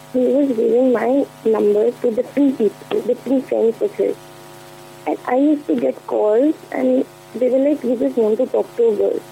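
A woman talks at a moderate pace with very even loudness. Noticeable background noise is present. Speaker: caller. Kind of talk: personal confession on call-in show. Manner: mumbling.

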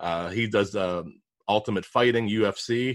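With a Pittsburgh accent, a man speaks with ordinary pitch variation on a very clean recording with a silent background. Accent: Pittsburgh American, noticeable. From Pittsburgh, US. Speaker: podcast host and digital marketer. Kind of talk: casual interview.

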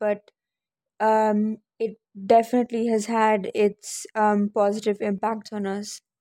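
A woman's dark, mellow voice in a dry, close sound without echo. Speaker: young Indian living in UK. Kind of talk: casual interview. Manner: hesitant, filler words.

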